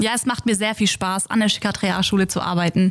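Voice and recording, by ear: A woman's medium-pitched voice at a fast pace, with fairly even intonation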